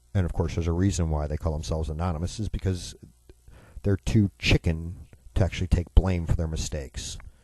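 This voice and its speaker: Over a quiet background, a man with a very deep, low, dark and mellow voice that is somewhat breathy talks at a very fast pace with ordinary pitch variation, in a dry, close sound with no echo. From US Midwest, Chicago. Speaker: radio talk show host. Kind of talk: political talk radio monologue. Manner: sarcastic.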